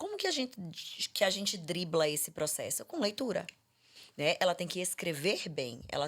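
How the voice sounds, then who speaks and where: A woman with a fairly low pitch and lively intonation speaks on a very clean recording with a silent background. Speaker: speech therapist. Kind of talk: podcast conversation. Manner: fast.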